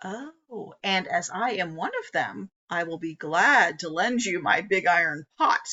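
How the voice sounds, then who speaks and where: A put-on character voice at a middle pitch moves at a fairly slow pace with hardly any pauses. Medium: read story.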